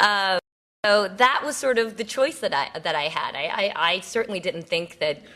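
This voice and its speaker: In an American accent, a woman speaks at a moderate pace and medium pitch, her bright, sharp tone carrying lively intonation. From United States, moved from Seoul at age five. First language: Korean. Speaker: TV news political correspondent. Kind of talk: keynote speech. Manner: casual, many fillers and restarts.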